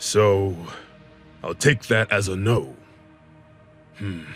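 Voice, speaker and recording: A man uses a booming, put-on character voice at a very slow pace. Clear music plays in the background. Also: fairly low pitch for a man. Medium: read story. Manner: commanding, sly.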